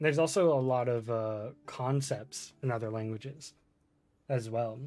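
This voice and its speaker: A man talks at medium pitch with a slight Florida accent. His tone is relaxed. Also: ordinary pitch variation, moderate pace. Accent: slight Florida accent, others have noticed it. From Florida, US. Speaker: gaming streamer. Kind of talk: casual live-stream chat. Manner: relaxed, many fillers and hesitations.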